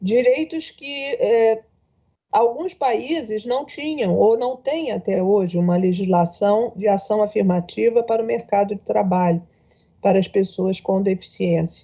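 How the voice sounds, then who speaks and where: At a fairly slow pace, a woman with a fairly high pitch speaks in an unremarkable speaking voice. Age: 60s. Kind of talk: panel speech.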